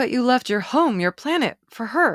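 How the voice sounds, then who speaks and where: A woman's put-on character voice, high-pitched and raspy, with very wide pitch swings, in a dry, close sound with no echo on a very clean recording with a silent background. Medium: read story.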